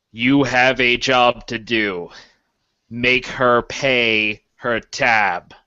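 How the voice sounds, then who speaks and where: Very slowly, a man puts on a character voice at medium pitch with fairly even intonation. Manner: commanding.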